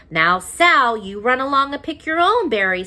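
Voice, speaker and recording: A woman puts on a character voice, pitched high with very wide swings, at a moderate pace. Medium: read story. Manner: calm, matter-of-fact.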